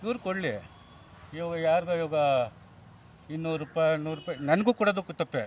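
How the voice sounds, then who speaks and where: This man's voice is high in pitch and shows ordinary pitch variation. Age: 60s. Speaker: retired government employee, street interviewee. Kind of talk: street vox pop interview. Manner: animated.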